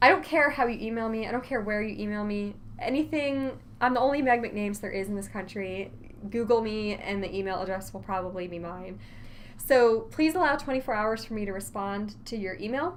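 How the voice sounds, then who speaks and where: Talking at a fairly quick pace, a woman uses a fairly high pitch and lively intonation, with big swings in loudness. Audible echo rings through the room. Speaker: college instructor. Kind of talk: lecture. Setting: recorded online course video. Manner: fast.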